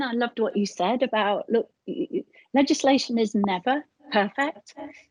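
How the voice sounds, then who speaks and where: A woman with a British accent is heard in a dry, close sound with no echo. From Britain. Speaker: charity chief executive. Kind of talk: live-streamed conversation. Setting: live stream. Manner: halting, many fillers.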